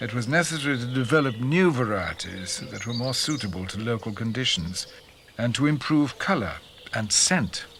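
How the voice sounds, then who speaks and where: Against noticeable background noise, a man speaks at a moderate pace and medium pitch with lively intonation. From Yorkshire. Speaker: narrator. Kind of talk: documentary narration.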